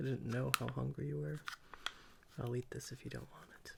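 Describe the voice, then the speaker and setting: Whispering, a man keeps his voice soft-spoken. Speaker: ASMR creator. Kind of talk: ASMR roleplay as a caring friend. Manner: softly spoken, whispered.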